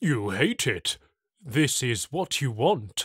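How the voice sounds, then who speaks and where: In a very clean recording with a silent background, a man performs a put-on character voice at a medium pitch and a very slow pace. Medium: read story. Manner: soft, smooth, servile.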